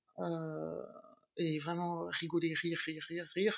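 The voice belongs to a woman and sits fairly low in pitch. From Latin American family background. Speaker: TV news video editor. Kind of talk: interview.

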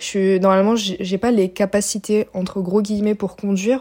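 A dark, mellow tone colors a woman's medium-pitched voice. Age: 20s. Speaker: university student. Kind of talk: testimony. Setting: recorded voice messages.

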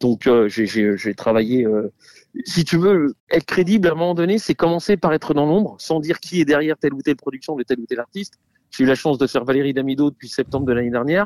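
Recorded dry and close with no echo, a man talks at a very fast pace with fairly high pitch and lively intonation. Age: 40s. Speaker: singer and producer. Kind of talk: interview.

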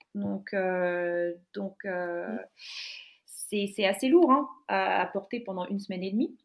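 A woman at medium pitch and a very slow pace, with hardly any pauses, ordinary pitch variation and big swings in loudness. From Finland. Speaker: graduate student interviewee. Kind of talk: casual interview. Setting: online call from home. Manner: halting, many fillers and repetitions.

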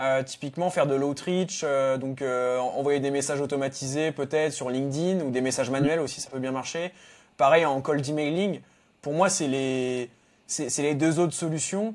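With fairly even intonation and a fairly high pitch, a man talks at a moderate pace in an unremarkable speaking voice. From Normandy, France. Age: 20s. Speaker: SEO freelancer. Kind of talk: casual interview.

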